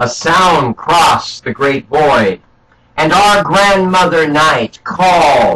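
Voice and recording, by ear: The speaker is reading aloud in a natural voice, pitch varying in an ordinary way.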